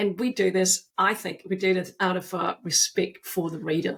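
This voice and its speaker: Recorded very cleanly with a silent background, a woman speaks at a medium pitch in a somewhat breathy voice. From Austria. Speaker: author and agile consultant. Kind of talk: podcast interview.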